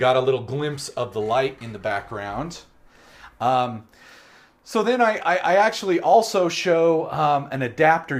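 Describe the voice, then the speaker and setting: Loud and at a fairly slow pace, a man talks with very wide pitch swings in a very clean recording with a silent background. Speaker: live-stream host. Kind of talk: live-stream show and tell. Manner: animated.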